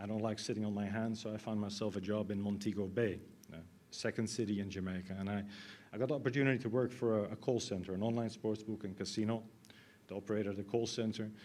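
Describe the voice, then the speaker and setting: A man with a fairly low pitch and a dark, mellow tone talks at a very fast pace. His intonation is monotone and flat, with audible room echo. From Netherlands. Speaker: IT consultant. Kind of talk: conference talk. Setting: stage with audience. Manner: halting.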